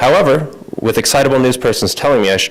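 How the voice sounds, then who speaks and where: A man talks very fast, with noticeable noise behind him. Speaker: fiction writer, MFA student. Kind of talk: reading aloud own short story. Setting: reading event with audience.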